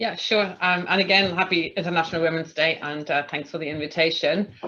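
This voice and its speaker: A woman with a German accent, fairly low in pitch, at a fairly quick pace with fairly even intonation. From Germany. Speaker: tribunal chair. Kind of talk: panel discussion. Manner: halting, many fillers.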